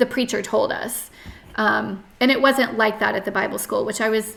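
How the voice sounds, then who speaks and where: A woman with an American accent at a fairly high pitch and moderate pace, amid noticeable background noise. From US South, North Carolina. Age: 30s. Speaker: podcast guest sharing life story. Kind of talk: interview testimony. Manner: hesitant, many fillers.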